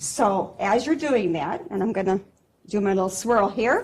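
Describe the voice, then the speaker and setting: A woman speaks loudly in an American accent, with an animated tone and lively intonation. Her pace is fairly slow. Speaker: pharmacy technician. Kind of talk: live demonstration talk. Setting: convention stage with audience, no microphone.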